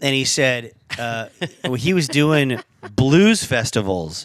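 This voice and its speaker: In a very clean recording with a silent background, a man talks at a very slow pace and a medium pitch. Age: 40s. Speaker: YouTube host and guitar tech. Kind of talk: casual chat. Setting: in a friend's house.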